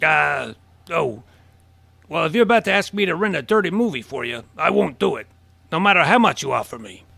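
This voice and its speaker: Putting on a raspy character voice at a high pitch, a man speaks at a fairly quick pace with big swings in loudness and long, frequent pauses. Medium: audio drama. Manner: cryptic, offhand.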